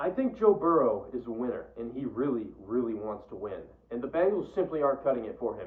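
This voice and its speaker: A man talks at a very fast pace, his pitch swinging very widely. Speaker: fantasy football content creator. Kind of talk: casual solo commentary. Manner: stutters; casual, halting with fillers.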